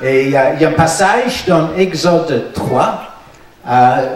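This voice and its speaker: A man speaks very slowly at a high pitch. Audible room echo and noticeable background noise fill the recording. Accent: English. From Northern Ireland. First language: English (speaking French). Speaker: pastor. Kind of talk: sermon. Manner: halting, many hesitations.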